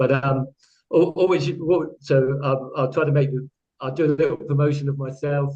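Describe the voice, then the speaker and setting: A man with a fairly high pitch, a dark, mellow tone and a somewhat breathy sound speaks at a moderate pace in monotone, flat intonation. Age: 60s. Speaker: qigong teacher. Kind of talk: livestream panel talk. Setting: online livestream. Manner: halting.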